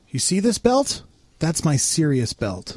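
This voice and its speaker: A man puts on a character voice, fairly high in pitch with very wide swings. He talks at a fairly slow pace. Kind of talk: mock-authoritative.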